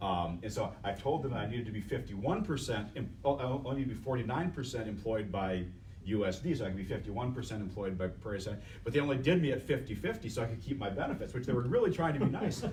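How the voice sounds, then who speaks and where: A man's very fast speech with lively intonation and audible room echo. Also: medium pitch for a man. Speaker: biomedical engineering professor. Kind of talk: panel discussion. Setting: workshop panel broadcast on Facebook Live. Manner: loud; halting, repeats words.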